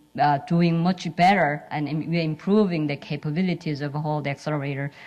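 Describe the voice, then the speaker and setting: A woman speaks with a strong Korean accent in a fairly low pitch and fairly even intonation. Her pace is moderate, and the background is quiet. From South Korea. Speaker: physicist and lab scientist. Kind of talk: symposium panel talk. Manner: halting, many fillers.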